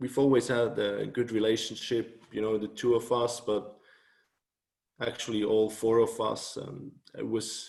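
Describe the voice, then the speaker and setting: Speaking in a Swiss German accent, a man with a medium pitch and a dark, mellow tone moves at a fairly slow pace. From Switzerland, Thun near Bern. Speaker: author and blogger. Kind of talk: interview.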